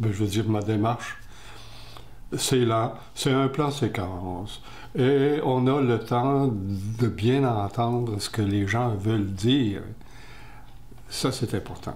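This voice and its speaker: A man with a medium pitch speaks at a very slow pace, leaving long, frequent pauses. His voice is somewhat breathy with ordinary pitch variation, and audible room echo surrounds it. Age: 80s+. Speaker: retired TV director interviewed about his eye disease. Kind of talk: interview.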